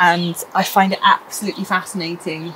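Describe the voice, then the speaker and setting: Fairly slow delivery over noticeable background noise. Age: 30s. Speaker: mature student. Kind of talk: casual show-and-tell. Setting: garden shed.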